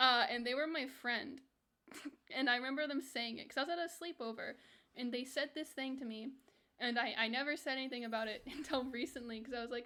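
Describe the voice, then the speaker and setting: In a raised, projected voice, a woman with an American accent talks at a fairly quick pace and high pitch, bright and sharp in tone, with ordinary pitch variation. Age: 20s. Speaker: video game streamer. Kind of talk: casual livestream chat.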